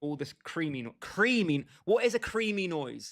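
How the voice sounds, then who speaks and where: With a British accent, a man speaks in an animated tone at a fairly high pitch, making very wide pitch swings. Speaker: gaming livestreamer. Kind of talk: casual chat.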